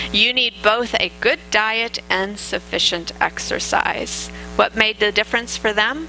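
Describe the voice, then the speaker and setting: A woman at a fairly slow pace with very even loudness, music in the background. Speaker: dietitian giving a health talk. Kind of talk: lecture. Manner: hesitant with fillers.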